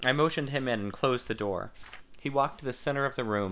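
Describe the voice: What we hear is plain reading aloud. The pitch variation is ordinary.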